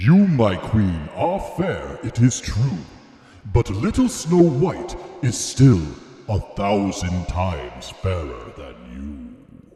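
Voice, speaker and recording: A put-on character voice unfolds at a very slow pace with a clear echo. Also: man, fairly low pitch for a man. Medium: read story.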